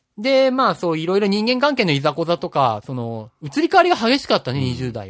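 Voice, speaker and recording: A man speaks with high pitch, very wide pitch swings and big swings in loudness. His pace is fairly quick, with hardly any pauses. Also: dry, close sound with no echo. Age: 30s. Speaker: podcast co-host. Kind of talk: casual chat.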